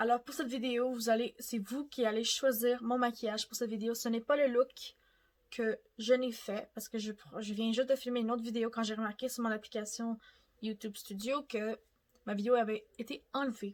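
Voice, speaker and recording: A woman with a Quebec accent, fairly high pitch, fairly even intonation and moderate pace. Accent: Québécois French. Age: 20s. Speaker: beauty youtuber. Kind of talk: makeup tutorial. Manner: casual, chatty.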